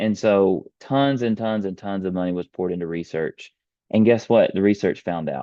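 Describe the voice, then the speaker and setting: Fairly low pitch marks this man's voice. He speaks with a Texan accent. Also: ordinary pitch variation, moderate pace. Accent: Texas Southern US. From US South, rural East Texas. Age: 30s. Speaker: beef industry presenter. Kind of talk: webinar presentation. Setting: online webinar with screen share.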